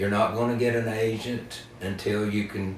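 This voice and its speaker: There is noticeable background noise as a man of medium pitch speaks at a moderate pace with fairly even intonation. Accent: Appalachian. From western North Carolina. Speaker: singer-songwriter and storyteller. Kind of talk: interview answer. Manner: deadpan.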